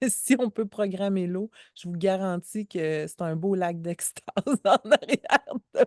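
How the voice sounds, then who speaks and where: A woman with a Quebec accent speaks at a very slow pace with ordinary pitch variation and big swings in loudness, in a dry, close sound with no echo. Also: medium pitch for a woman. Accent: Québécois French. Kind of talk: casual conversation. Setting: outdoors by a lake.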